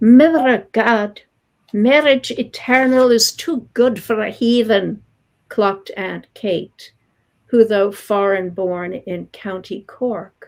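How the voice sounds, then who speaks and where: A woman with a fairly high pitch speaks at a very slow pace, her pitch varying in an ordinary way. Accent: American. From New York, Long Island. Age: 70s. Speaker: poet. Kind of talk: poetry reading; interview.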